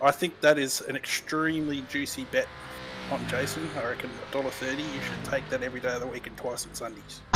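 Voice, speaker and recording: With music in the background, a man with an Australian accent talks very fast at a medium pitch, keeping fairly even intonation while his loudness swings widely. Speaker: sim racing commentator. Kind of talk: live commentary.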